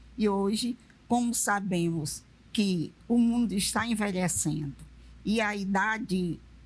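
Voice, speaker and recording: Speaking at a very slow pace, a woman uses a medium pitch and ordinary pitch variation, her somewhat breathy voice held at a very even loudness. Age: 70s. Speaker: retired railway worker. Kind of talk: TV panel discussion.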